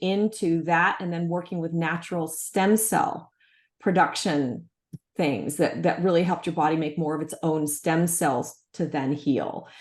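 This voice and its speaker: With an ordinary speaking voice, a woman speaks at a fairly slow pace and fairly low pitch, with ordinary pitch variation against a quiet background. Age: 60s. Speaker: natural health entrepreneur. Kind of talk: interview conversation.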